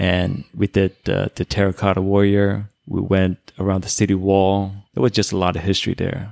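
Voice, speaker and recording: In a Chinese accent, a man with a fairly low voice speaks with hardly any pauses, the sound dry and close with no echo on a very clean recording with a silent background. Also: fairly even intonation, moderate pace. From China, immigrated to US at ten. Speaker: airline pilot, Navy veteran. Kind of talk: casual chat.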